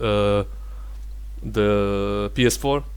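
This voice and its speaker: Here a man speaks with a non-native accent. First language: not English. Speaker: gaming tech youtuber. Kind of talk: benchmark review talk. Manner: halting, many fillers.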